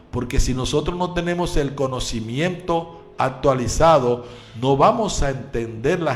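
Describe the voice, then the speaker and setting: A man's medium-pitched voice with lively intonation at a fairly slow pace, audible room echo and music in the background. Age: 60s. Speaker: pastor and radio preacher. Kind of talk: radio sermon. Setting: live radio broadcast.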